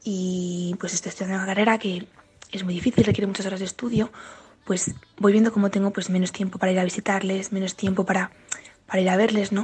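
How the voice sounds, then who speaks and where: A woman speaks at a moderate pace in a medium pitch, her somewhat breathy voice held to a monotone, flat intonation. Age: 20s. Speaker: university student. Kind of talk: testimony.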